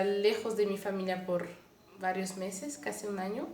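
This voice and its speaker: A woman with a Mexican accent speaks amid audible room echo. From Canada, Montreal. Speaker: lay missionary. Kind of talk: testimony. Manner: halting.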